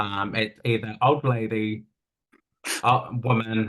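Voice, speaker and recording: In a New Zealand accent, a man speaks at a very slow pace with a medium pitch and a monotone, flat intonation. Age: 30s. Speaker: interview guest. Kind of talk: personal testimony. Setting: video call.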